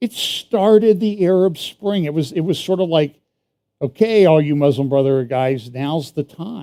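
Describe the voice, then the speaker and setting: The man's voice is fairly high with a dark, mellow tone, lively intonation and a moderate pace. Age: 60s. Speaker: church prophecy teacher. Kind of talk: sermon. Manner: casual conversational.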